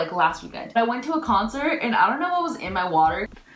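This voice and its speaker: A woman's fairly high voice makes very wide pitch swings amid noticeable background noise and audible room echo. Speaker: beauty vlogger. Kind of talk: casual chat. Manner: animated.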